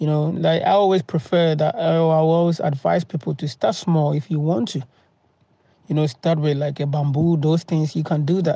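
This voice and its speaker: A man's fairly high voice with a dark, mellow tone, a moderate pace and a dry sound with no echo. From Ghana. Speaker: farm vlogger; farm owner vlogger. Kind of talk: tutorial. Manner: halting, many fillers. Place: farm machine. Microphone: phone near.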